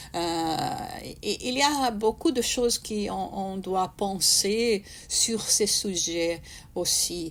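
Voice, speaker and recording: This woman talks at a very slow pace with lively intonation and a medium pitch. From Brazil. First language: Portuguese (speaking French). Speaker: spiritist speaker. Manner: halting, many hesitations and repetitions.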